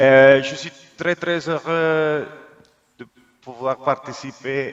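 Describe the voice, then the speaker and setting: Someone with a non-native accent speaks at a very slow pace with fairly even intonation. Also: man. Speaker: EU media relations officer. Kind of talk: conference speech. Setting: video call. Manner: halting.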